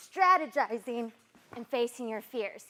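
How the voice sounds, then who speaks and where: At a moderate pace, a woman talks in a high pitch. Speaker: TV news reporter and anchor. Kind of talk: TV news field reporter.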